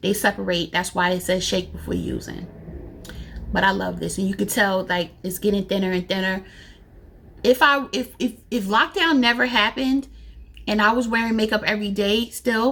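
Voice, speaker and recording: Moderately paced female speech, medium in pitch, with vocal fry and ordinary pitch variation. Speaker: beauty youtuber. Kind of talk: casual product review vlog.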